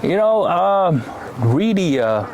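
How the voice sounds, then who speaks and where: Talking at a fairly slow pace, a man shows ordinary pitch variation against noticeable background noise. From Taiwan. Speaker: immigrant interviewee. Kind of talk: casual interview. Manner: halting, many fillers.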